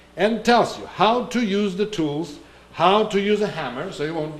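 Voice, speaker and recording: This man speaks with a Russian accent and ordinary pitch variation. Noticeable background noise and audible room echo are present. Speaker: Orthodox priest giving a talk. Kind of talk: sermon-like talk. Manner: halting, searching for words.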